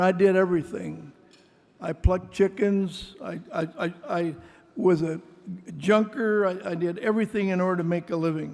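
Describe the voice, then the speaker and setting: The man's voice is high in pitch, with fairly even intonation. He keeps a moderate pace. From US Midwest, Mason City, Iowa. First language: Greek. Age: 80s+. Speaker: venture capitalist. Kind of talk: award acceptance speech.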